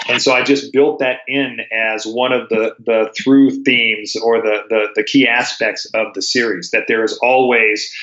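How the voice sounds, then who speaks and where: Speaking with an American accent, a man keeps a medium pitch and monotone, flat intonation. His pace is fairly slow. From US Mountain West (Colorado). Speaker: fiction author. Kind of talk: casual interview.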